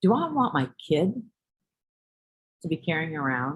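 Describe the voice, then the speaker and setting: This voice, with an American accent, has an animated tone and a moderate pace. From New York City. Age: 60s. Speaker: teacher. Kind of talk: lecture.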